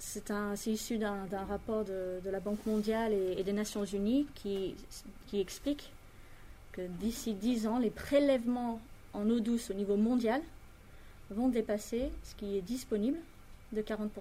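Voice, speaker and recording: A woman's somewhat breathy voice, fairly high in pitch, at a fairly slow pace with fairly even intonation and long, frequent pauses. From France and Britain (Franco-British). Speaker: industrial environmental engineer. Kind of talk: interview explanation.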